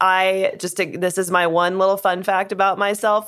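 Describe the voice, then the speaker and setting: A woman with an American accent, animated in tone at a medium pitch, on a very clean recording with a silent background. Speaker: podcast host. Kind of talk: casual chat, banter. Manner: animated, laughing.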